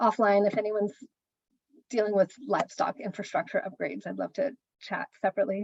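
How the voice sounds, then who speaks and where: Her medium-pitched voice carries vocal fry as the woman talks at a fairly quick pace, broken by long, frequent pauses. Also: ordinary pitch variation. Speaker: land trust staff, conservation. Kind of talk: work meeting update. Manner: fast.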